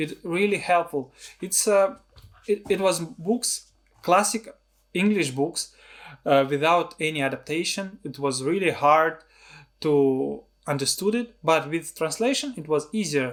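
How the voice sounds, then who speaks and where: A man's high voice with a Russian accent, lively intonation and a fairly slow pace broken by long, frequent pauses. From Russia, Siberia. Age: 30s. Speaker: filmmaker and video blogger. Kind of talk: personal vlog talk. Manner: halting, non-fluent.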